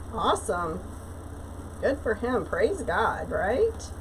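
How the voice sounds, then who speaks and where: A woman talks fairly slowly amid noticeable background noise. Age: 60s. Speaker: craft livestreamer. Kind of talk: casual chat. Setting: live stream. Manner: chatty, hesitant with fillers.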